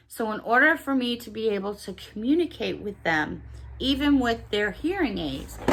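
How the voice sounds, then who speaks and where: A woman with a fairly high pitch at a moderate pace, very wide pitch swings and big swings in loudness, over noticeable background noise. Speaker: YouTube haul vlogger. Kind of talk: casual chat.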